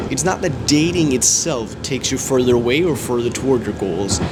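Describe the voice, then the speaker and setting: This man has a medium-pitched voice with ordinary pitch variation and a fairly quick pace. Noticeable background noise is present. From Denmark. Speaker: comedy writer and animation producer. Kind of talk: casual vlog talk to camera.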